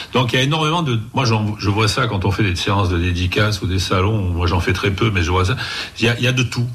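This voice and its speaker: Over noticeable background noise and audible room echo, a man speaks at a fairly quick pace in a fairly low pitch, with ordinary pitch variation and very even loudness. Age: 60s. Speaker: comic book writer and artist. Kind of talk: interview.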